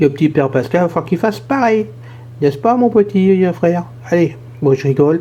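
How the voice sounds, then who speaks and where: A man talks at a very fast pace. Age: 60s. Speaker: YouTube channel host. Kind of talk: casual vlog monologue. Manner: hesitant, many fillers.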